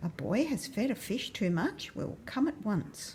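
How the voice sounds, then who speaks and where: Using a put-on character voice, a woman speaks at a moderate pace with fairly high pitch and very wide pitch swings, clear background noise behind her. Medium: read story. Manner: loud, commanding.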